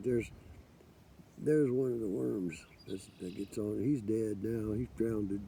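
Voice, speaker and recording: Using ordinary pitch variation at a moderate pace, a man with an American accent speaks in a fairly low pitch with a dark, mellow tone. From US Midwest, Kansas City. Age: 60s. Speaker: forager vlogger. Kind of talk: casual vlog monologue.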